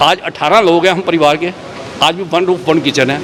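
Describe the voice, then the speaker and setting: A man talks in a high register amid noticeable background noise. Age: 60s. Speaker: award recipient. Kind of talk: acceptance speech. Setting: award ceremony hall.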